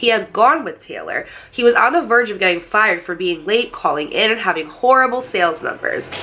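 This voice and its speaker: This woman has a fairly high pitch, an animated tone and lively intonation at a moderate pace. Noticeable background noise can be heard. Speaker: storytime YouTuber. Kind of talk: reading aloud a viewer submission with commentary; casual reaction commentary. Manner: animated, exclamatory.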